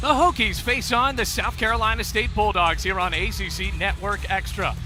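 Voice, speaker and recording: Music behind a man talking at a moderate speed. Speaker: play-by-play sports broadcaster. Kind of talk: basketball broadcast opening.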